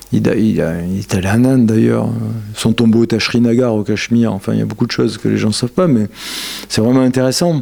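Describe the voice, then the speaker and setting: A man is heard talking over noticeable background noise. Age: 60s. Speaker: yoga lecturer. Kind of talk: lecture. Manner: animated.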